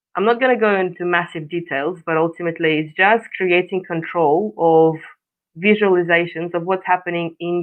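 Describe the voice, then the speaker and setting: Someone talks at a fairly quick pace with a Russian accent. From Russia, Far East. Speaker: coach. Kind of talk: interview. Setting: live stream.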